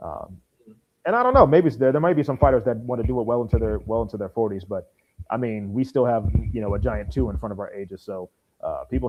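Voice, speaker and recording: A man at a very fast pace with big swings in loudness, music in the background. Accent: American. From Maryland, DMV area. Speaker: podcast host. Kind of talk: casual chat.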